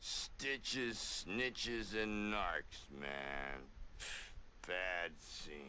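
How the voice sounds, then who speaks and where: A put-on character voice speaks at a very slow pace over clear background noise. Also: man, fairly low pitch for a man. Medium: video game. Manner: laid-back hippie slang.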